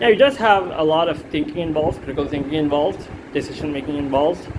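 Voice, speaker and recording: Over noticeable background noise, a man with a non-native accent and a fairly high pitch talks at a very fast pace. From India. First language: not English. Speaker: student. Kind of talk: self-assessment monologue. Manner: halting, many fillers.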